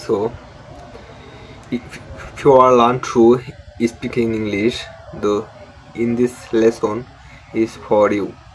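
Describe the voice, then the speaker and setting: A man speaks at a medium pitch in a monotone, flat intonation, at a very slow pace with long, frequent pauses. Noticeable background noise runs beneath him. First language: Bengali. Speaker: English learning YouTuber. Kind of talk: tutorial. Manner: halting.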